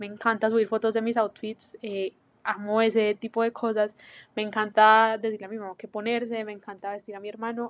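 Against a quiet background, a woman talks at a moderate pace and a fairly high pitch in a dry, close sound with no echo. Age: 20s. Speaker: podcast host; university student. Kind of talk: solo monologue. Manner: casual, hesitant with fillers.

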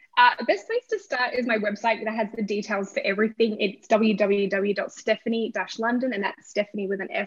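A woman with an Australian accent and a fairly high pitch speaks with fairly even intonation, in a dry, close sound with no echo, over noticeable background noise. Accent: Australian, milder than typical. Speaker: romance author. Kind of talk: interview.

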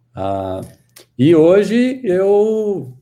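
A dark, mellow, somewhat breathy male voice with a Goiânia accent and very wide pitch swings. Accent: Goiânia accent, proudly kept. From Brazil, Goiânia (Goiás). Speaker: tech team leader. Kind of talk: casual interview chat.

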